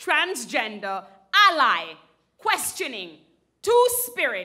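Raising and projecting her voice, a woman speaks at a very slow pace. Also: quiet background. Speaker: spoken word poet. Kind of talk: spoken word poetry performance to a live audience. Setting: live theater stage. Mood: angry, impassioned. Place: stage.

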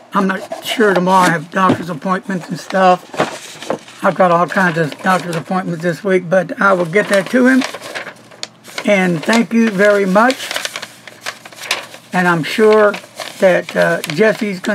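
A man's high-pitched, fairly slow speech with ordinary pitch variation over noticeable background noise. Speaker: pen reviewer. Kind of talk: casual vlog chat.

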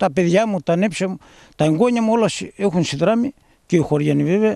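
Over a quiet background, a man talks with a dark, mellow tone and lively intonation. His pace is fairly quick, and the sound is dry with no echo. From Greece. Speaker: village barber. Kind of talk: interview. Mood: emotional, defiant about shop.

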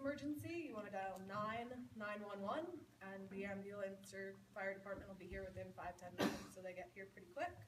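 There is noticeable background noise as a woman speaks at a fairly quick pace. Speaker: retreat center operations manager. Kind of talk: welcome announcements. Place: hall. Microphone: camera far.

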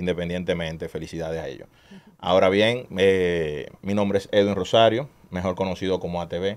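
A man's very deep, low voice at a fairly quick pace, with fairly even intonation. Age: 30s. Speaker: street racing community leader. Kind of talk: interview.

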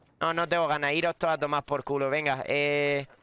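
A man talks at a moderate pace. The sound is dry with no echo, and light noise sits in the background. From Spain. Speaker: gaming youtuber. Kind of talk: gameplay commentary. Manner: animated. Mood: frustrated joking in last clip. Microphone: studio mic.

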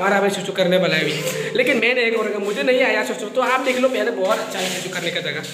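Speaking fast with lively intonation, a man uses a high-pitched voice over clear background noise.

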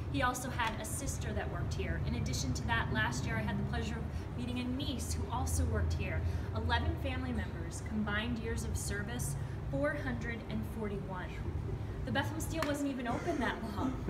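Fairly quick speech from a woman against loud background noise. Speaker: tour guide. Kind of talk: guided tour talk. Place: open country. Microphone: camera far.

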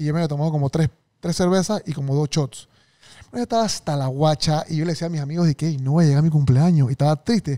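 Against a quiet background, a man with a fairly high, dark, mellow voice talks at a very fast pace. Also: ordinary pitch variation. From Panama. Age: 30s. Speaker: podcast host. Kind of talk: casual interview chat. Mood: jokey, storytelling. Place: studio. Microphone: studio mic.

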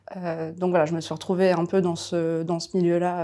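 At a moderate pace, a woman talks with a fairly low pitch. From France, Paris region (Val-d'Oise); France. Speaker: lawyer. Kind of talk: interview. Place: office. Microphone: lapel.

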